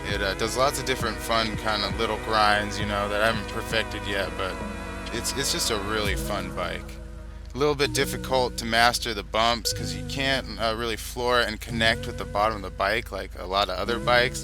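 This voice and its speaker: Music plays in the background as a man talks. His pace is fairly quick. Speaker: video game player. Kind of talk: casual gameplay commentary. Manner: casual, laid-back, hesitant.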